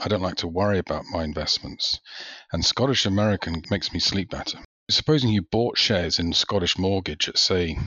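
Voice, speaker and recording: A man speaks with a British accent. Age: 50s. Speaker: retail investor, podcast listener. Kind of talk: casual interview.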